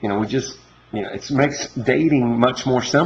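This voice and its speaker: Here a man talks with a Southern US accent. His pitch sits in the middle of the male range. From Kentucky, Louisville. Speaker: entrepreneur making a dating video. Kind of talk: casual monologue to camera. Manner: halting, many repetitions.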